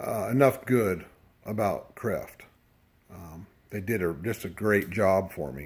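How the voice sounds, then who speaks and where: At a very slow pace with long, frequent pauses, a somewhat breathy man of fairly low pitch talks with big swings in loudness and ordinary pitch variation. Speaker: dirt bike rider reviewing suspension. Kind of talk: casual video review. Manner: halting, stuttering over words; hesitant, many fillers.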